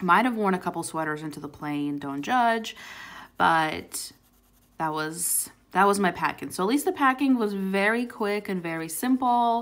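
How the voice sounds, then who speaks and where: A woman with a plain, everyday voice, medium pitch and lively intonation, at a moderate pace, on a very clean recording with a silent background. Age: 20s. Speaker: YouTuber doing coloring videos. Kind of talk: casual chat. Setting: at home with a dog in the background.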